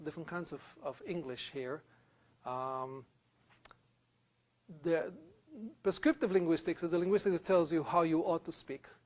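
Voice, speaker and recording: A man with an Israeli accent, fairly high in pitch, at a moderate pace with ordinary pitch variation. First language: Hebrew. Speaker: university lecturer. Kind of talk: lecture.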